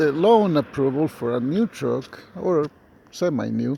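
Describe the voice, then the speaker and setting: Speaking at a very slow pace, a man with a non-native accent is heard over noticeable background noise. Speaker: truck driver. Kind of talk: casual talk to camera. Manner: hesitant, rambling.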